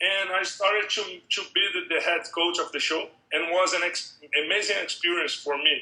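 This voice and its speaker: A man with a Brazilian accent, high-pitched and projecting loudly, at a moderate pace with fairly even intonation. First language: Portuguese. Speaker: MMA strength and conditioning coach. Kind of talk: interview. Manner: halting.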